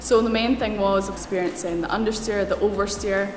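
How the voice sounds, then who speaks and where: With a Scottish accent, a woman talks at a fairly quick pace against noticeable background noise. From Scotland. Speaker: racing driver. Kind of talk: interview answer. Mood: enthusiastic, grateful.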